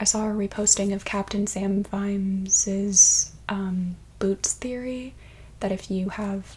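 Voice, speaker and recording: Soft-spoken and somewhat breathy, a woman with a dark, mellow tone speaks at medium pitch in a monotone, flat intonation. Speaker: ASMR artist. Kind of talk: soft-spoken ASMR book talk.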